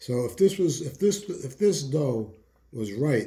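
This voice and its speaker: A man's dark, mellow tone comes across somewhat breathy, with lively intonation. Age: 70s. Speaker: retired home cook, host's father. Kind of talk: casual chat, taste testing. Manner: halting, repeats words.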